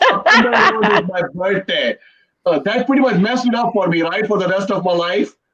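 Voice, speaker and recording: A man with an Indian accent, high pitch, ordinary pitch variation and a fairly quick pace. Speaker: comedian. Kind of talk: stand-up.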